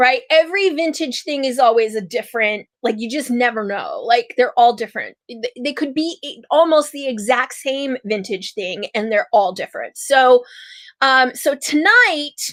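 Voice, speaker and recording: With an American accent, a high-pitched woman speaks at a moderate pace in an animated tone, her lively intonation and big swings in loudness caught in a dry, close sound with no echo. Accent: Chicago accent, stronger today. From Chicago area. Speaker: shop owner. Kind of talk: live stream sales show. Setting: live stream.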